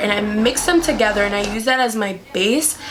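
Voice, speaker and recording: With music in the background and audible room echo, a woman talks at a fairly quick pace in a fairly high pitch with ordinary pitch variation. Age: 20s. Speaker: makeup artist. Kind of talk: tutorial. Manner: casual, filler-heavy.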